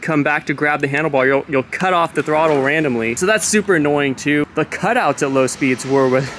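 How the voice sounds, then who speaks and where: At a fairly quick pace, a man speaks in a dry sound with no echo over light background noise. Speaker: product reviewer. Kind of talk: casual review commentary. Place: garden. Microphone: phone near.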